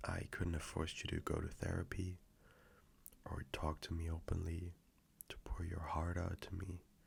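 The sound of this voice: Putting on a character voice, a man speaks at a moderate pace with a low pitch, vocal fry, a husky, rough edge, and a monotone, flat intonation.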